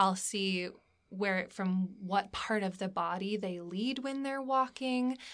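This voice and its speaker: In an American accent, a woman with a bright, sharp tone speaks very slowly at a medium pitch, her pitch varying in an ordinary way. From Alaska, US. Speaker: stage actor. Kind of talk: interview.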